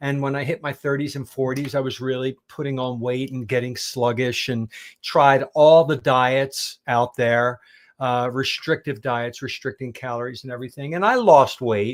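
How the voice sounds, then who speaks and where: A plain, everyday voice from a man with an American accent, medium pitch, fairly even intonation and a moderate pace, on a very clean recording with a silent background. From Pennsylvania, US. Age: 60s. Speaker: carnivore diet teacher. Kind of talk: interview, personal story.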